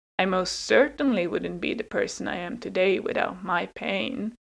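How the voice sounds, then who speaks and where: A woman's medium-pitched voice with vocal fry, a moderate pace and ordinary pitch variation. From Hungary. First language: Hungarian and Swedish. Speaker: podcast host and sociology student. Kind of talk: personal storytelling monologue.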